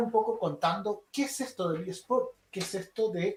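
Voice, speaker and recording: Moderate pace and ordinary pitch variation from a man with a high-pitched voice. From Chile. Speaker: esports instructor. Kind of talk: online lecture. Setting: livestream.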